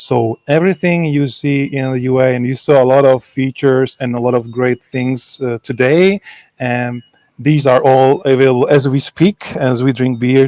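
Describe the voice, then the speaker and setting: At a moderate pace, a man with a Czech accent speaks at a medium pitch with fairly even intonation, in a dry, close sound with no echo. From Czech Republic. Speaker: software developer. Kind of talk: conference Q&A.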